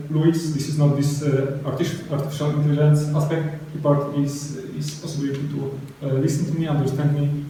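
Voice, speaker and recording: A man speaks at a moderate pace with a fairly high pitch and monotone, flat intonation. Audible room echo and noticeable background noise are present. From Poland. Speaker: software developer, conference speaker. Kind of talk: tech talk Q&A. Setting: stage with audience. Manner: halting.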